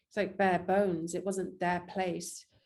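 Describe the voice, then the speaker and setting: With a strong English accent, the speaker talks at a fairly slow pace in a dark, mellow tone and a monotone, flat intonation. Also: woman. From England. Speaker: actress and filmmaker. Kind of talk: interview.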